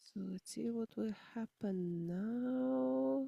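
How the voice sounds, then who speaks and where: A woman with a Slovenian accent speaks in a dark, mellow tone with lively intonation. The sound is dry and close, with no echo. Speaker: musician. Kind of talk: casual chat.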